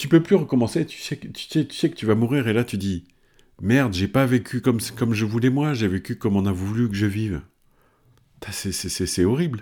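At a moderate pace, a man with a medium pitch talks with lively intonation and big swings in loudness. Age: 50s. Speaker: performance coach. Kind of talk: motivational talk. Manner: hesitant, many fillers.

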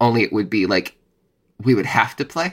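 Speaking at a fairly quick pace, a man has a bright, sharp tone. The recording is very clean and the background silent. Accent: American. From Texas, Dallas. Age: 30s. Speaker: playwright and actor. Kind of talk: casual interview chat.

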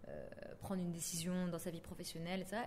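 Amid audible room echo, a woman talks at a fairly quick pace in a medium pitch. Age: 20s. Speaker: podcaster. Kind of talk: interview monologue.

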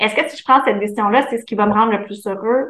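Speaking in a Quebec accent, a woman has a fairly high pitch and ordinary pitch variation. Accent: Québécois French. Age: 30s. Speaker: entrepreneur, former speech therapist. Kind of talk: interview.

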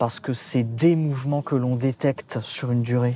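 Medium pitch and a moderate pace from a man with a plain, everyday voice, his intonation fairly even. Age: 30s. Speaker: translator. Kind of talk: casual interview.

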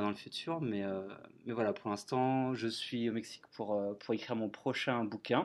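Against a quiet background, a man speaks at a moderate pace with a medium pitch. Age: 30s. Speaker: travel blogger and author. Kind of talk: interview. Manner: halting, many fillers and repetitions.

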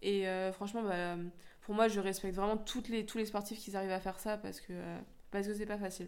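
Fairly quick, monotone speech from a woman at medium pitch, flat in intonation. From France, Lyon area (Rhône-Alpes). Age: 20s. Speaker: professional squash player. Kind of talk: interview.

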